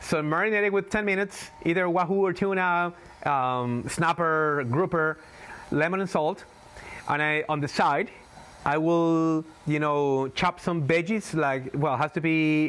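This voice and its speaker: Fairly high in pitch with ordinary variation, a man with a Spanish accent speaks at a fairly slow pace and very even loudness. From Galapagos Islands, Ecuador. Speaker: tour guide. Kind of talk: interview.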